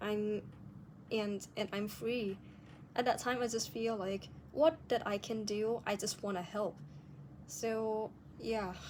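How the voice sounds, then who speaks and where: A woman with a non-native accent speaks very slowly in a fairly high voice. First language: non-native English speaker. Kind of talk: casual video diary talk to camera.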